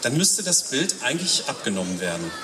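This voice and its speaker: A man talks at a moderate pace, his pitch swinging very widely. Audible room echo and noticeable background noise come through. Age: 50s. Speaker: lay preacher. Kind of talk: sermon. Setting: church service at a town festival.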